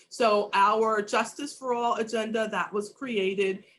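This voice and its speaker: Ordinary pitch variation and a fairly slow pace in an unremarkable speaking voice. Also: woman. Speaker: state legislator. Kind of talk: panel discussion.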